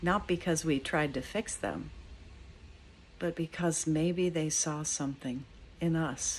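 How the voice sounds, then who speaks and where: Over light background noise, a woman with a very deep, low pitch and vocal fry speaks in a warm tone at a fairly slow pace, her intonation fairly even and her pauses long and frequent. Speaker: cathedral dean giving a morning devotional. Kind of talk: fervent spoken prayer, earnest and pleading, addressed to God. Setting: outdoors at a friend's house in the morning. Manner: earnest, warm and heartfelt, unhurried; pastoral, reflective, conversational in the reflection. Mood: calm, gentle, reflective. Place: home room. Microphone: phone near.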